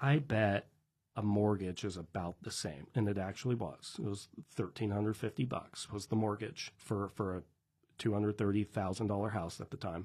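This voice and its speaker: A man with an American accent speaks at a moderate pace in a somewhat breathy voice. His pitch is fairly low, with ordinary pitch variation. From Washington State, Tri-Cities. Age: 20s. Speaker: real estate investor and business owner. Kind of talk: casual interview chat.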